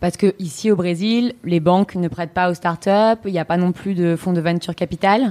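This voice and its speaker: Recorded with a dry, close sound and no echo, a woman with a fairly low pitch and dark, mellow tone keeps a moderate pace, fairly even intonation, and hardly any pauses. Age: 30s. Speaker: podcast host. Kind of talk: interview. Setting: office.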